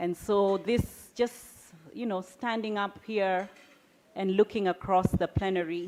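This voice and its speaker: With a Kenyan accent, a woman speaks using ordinary pitch variation. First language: Kikuyu. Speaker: business founder and CEO. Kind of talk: keynote speech.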